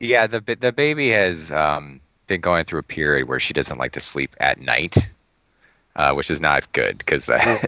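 Very deep and low, this man's voice swings very widely in pitch, with vocal fry. He keeps a moderate pace. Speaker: podcast co-host. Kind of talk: casual chat.

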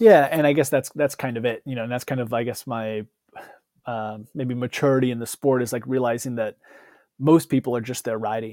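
A man with a medium pitch and an unremarkable speaking voice talks at a fairly quick pace with fairly even intonation. The sound is dry and close, with no echo. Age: 30s. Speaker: former pro cyclist, gravel racer. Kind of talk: casual interview.

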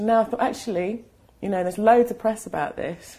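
In a London accent, a woman speaks at a fairly quick pace with a fairly high pitch, a dark, mellow tone and vocal fry. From UK, London. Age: 40s. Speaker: artist. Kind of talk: casual interview conversation. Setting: artist's studio. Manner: halting, many fillers and restarts.

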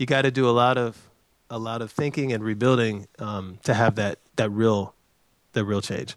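A man speaks in an unremarkable speaking voice at medium pitch. His intonation stays fairly even. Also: moderate pace. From US South, North Carolina (Chapel Hill). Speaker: economic development director. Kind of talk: interview.

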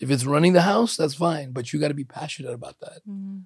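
A somewhat breathy man with fairly high pitch talks at a very fast pace with ordinary pitch variation. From Ukraine. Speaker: podcast host. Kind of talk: casual chat.

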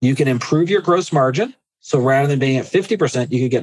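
Using an ordinary speaking voice, a man at a medium pitch talks with lively intonation. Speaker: agency finance consultant, founder. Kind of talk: interview chat.

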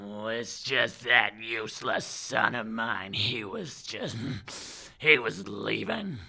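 A man speaks at a fairly slow pace in a medium pitch. There is light background noise. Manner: grouchy, self-pitying.

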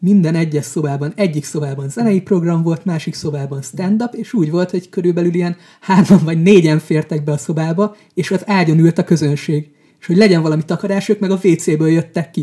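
Speaking fairly quickly, a man has a high pitch, a dark, mellow tone and ordinary pitch variation. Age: 20s. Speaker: stand-up comedian. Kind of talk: casual chat.

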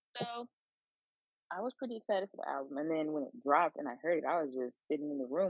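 A woman with an unremarkable speaking voice talks in a fairly low pitch with lively intonation. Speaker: podcast co-host. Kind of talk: casual chat.

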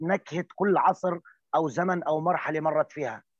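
A man's fairly high-pitched voice in a dry, close sound with no echo, over a quiet background. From rural Palestine. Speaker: storyteller. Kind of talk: panel discussion.

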